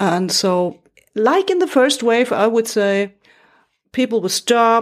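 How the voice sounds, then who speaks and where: Very clean recording, silent background. A woman with a German accent speaks at a fairly slow pace. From Germany, Munich. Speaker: radio journalist and podcast producer. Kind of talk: interview conversation. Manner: halting.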